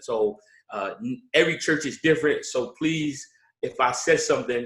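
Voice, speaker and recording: A man with a Baltimore accent and ordinary pitch variation. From Baltimore, Maryland. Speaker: pastor. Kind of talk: workshop presentation. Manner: hesitant, many fillers.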